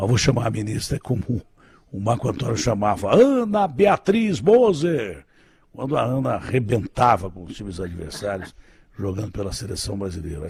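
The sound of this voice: A man puts on a hoarse character voice at a medium pitch with lively intonation. He speaks at a moderate pace.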